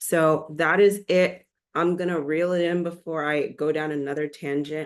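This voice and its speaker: A woman speaks at a moderate pace with a very deep, low pitch. Her intonation is flat and monotone. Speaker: nurse and caregiver advocate. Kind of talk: casual vlog monologue. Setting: recording alone to camera.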